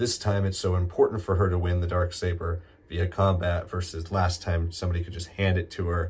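A man's very deep, low voice comes through somewhat breathy. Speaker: co-host reviewer. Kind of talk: review podcast, conversational.

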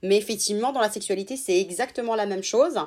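This woman's voice sits fairly high, with ordinary pitch variation. The recording is very clean, the background silent. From Italy, raised in France from childhood. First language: Italian (speaking French). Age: 30s. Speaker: sex therapist. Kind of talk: interview.

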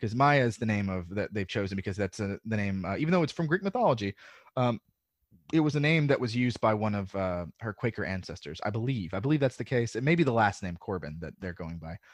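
Delivery is very fast, in an American accent with lively intonation. The sound is dry and close, with no echo. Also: man, fairly low pitch for a man. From US South. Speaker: podcaster. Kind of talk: casual chat.

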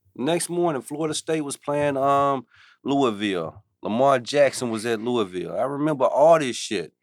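This is a man with an unremarkable speaking voice and a fairly high pitch. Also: lively intonation, moderate pace. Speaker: podcast co-host. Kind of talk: casual banter. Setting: studio.

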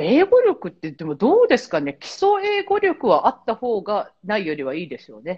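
A woman talks at a moderate pace. Her volume shifts in big swings from loud to soft. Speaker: travel agency worker and association head. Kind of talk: casual chat. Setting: remote call from Malta.

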